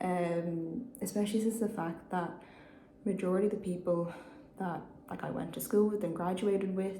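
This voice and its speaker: A woman's medium-pitched voice with a Dublin accent, fairly even in intonation at a moderate pace, with audible room echo and noticeable background noise. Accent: Dublin Irish. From Ireland, Dublin. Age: 20s. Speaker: vlogger. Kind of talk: personal vlog. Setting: private meeting room. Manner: hesitant, many fillers.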